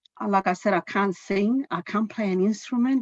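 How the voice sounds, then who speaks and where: A woman talks with a Chilean accent at medium pitch. Her moderate pace comes through in a dry, close sound with no echo. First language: Spanish. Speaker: finance executive. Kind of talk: self-introduction at staff meeting. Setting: video call.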